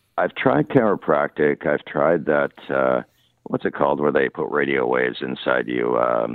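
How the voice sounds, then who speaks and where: A Canadian accent at a moderate pace. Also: man. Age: 50s. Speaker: caller with chronic pain. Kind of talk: radio call-in. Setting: phone call.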